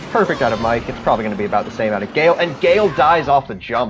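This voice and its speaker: Music plays in the background as a man speaks at a very fast pace. His medium pitch makes very wide swings. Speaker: esports commentator. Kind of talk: live commentary.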